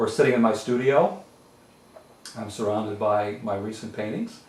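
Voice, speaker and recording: In a New England accent, a man with a fairly low voice speaks at a moderate pace with ordinary pitch variation and long, frequent pauses, amid audible room echo and noticeable background noise. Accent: New England American. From western Massachusetts, French Canadian community. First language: French. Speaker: retired law library association executive, painter. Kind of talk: oral history interview. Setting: home art studio. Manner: hesitant, many fillers.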